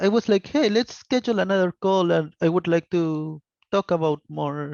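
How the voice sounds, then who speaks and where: A man speaks with a Spanish accent over a quiet background. The sound is dry and close, with no echo. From Argentina. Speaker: software developer. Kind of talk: panel discussion.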